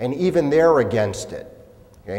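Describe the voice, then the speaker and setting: Audible room echo and noticeable background noise around a man speaking. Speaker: labor law attorney. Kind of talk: lecture.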